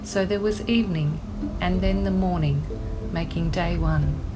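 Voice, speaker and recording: Over noticeable background noise, a woman with an Australian accent speaks at a fairly slow pace. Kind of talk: scripture reading.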